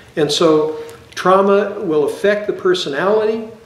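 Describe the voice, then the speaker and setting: A man speaks with noticeable background noise and audible echo in the room. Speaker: psychologist. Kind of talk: educational lecture. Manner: hesitant, frequent fillers and repetitions.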